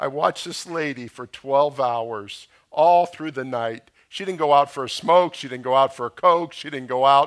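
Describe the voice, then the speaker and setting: A man with an ordinary speaking voice and an American accent talks at a moderate pace. His pitch is fairly high with ordinary variation, on a very clean recording with a silent background. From US South, South Florida (Boca Raton). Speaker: pastor. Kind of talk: sermon. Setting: church.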